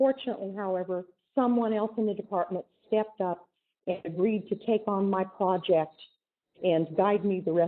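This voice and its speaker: A woman with an American accent talks at a moderate pace in a normal speaking voice, medium in pitch with ordinary pitch variation. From US West, southern Oregon. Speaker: chemist. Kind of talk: lecture.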